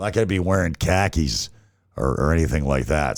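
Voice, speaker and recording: On a very clean recording with a silent background, a man speaks at a moderate pace in a very deep, low voice with vocal fry. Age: 60s. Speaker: podcast host. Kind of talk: casual monologue rant. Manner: halting, many fillers and restarts.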